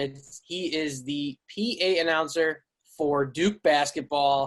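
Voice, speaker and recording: A man with a slight Chicago accent speaks at a very slow pace in a fairly high voice, his intonation fairly even. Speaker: podcast host. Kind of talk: casual podcast chat.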